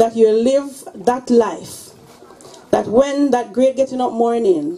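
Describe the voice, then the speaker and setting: The woman's delivery is very slow in pace. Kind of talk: funeral condolence speech and prayer. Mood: solemn, sympathetic. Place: tent.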